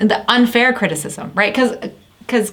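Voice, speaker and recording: A woman talks in an animated tone. Noticeable background noise runs behind her. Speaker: business founder and CEO. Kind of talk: casual chat. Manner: fast.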